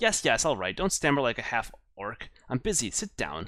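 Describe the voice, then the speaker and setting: A man uses a squeaky, put-on character voice, fairly high in pitch. He talks at a moderate pace. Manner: irritable, impatient.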